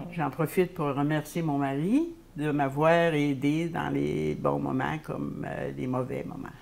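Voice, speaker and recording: A woman talks very slowly with noticeable background noise behind her. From Quebec, Lower St. Lawrence (Saint-Épiphane). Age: 80s+. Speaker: senior sharing life story. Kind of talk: interview. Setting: video call. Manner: halting.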